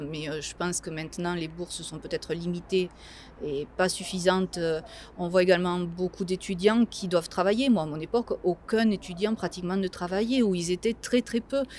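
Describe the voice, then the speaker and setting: At a moderate pace, a woman speaks at a medium pitch with ordinary pitch variation and big swings in loudness. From southwest France, Tarn-et-Garonne. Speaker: regional councillor and law lecturer. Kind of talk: interview. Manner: hesitant, many fillers.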